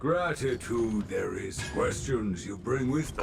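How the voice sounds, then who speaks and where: Over loud background noise, a man uses a cartoonish character voice at medium pitch and a fairly slow pace. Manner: terse, cryptic.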